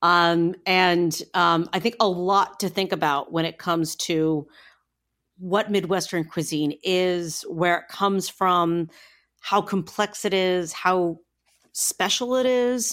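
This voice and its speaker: The speaker talks at a very slow pace with an American accent. Pitch varies in an ordinary way. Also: woman, medium pitch for a woman. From Northeastern Ohio. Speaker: food podcast host. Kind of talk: casual interview.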